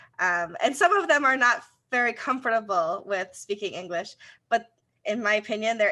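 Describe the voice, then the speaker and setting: Over a quiet background, a woman with a Rochester accent talks at a fairly quick pace. Her voice has a fairly high pitch and a bright, sharp tone. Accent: Rochester broad A. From US, Rochester, New York. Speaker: co-host, community relations. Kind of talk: casual chat.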